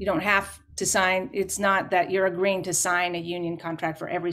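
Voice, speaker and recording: A woman with a Canadian accent talks at a fairly quick pace in a fairly low pitch. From Canada. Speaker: folk musician. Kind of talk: panel discussion. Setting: video call. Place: home room.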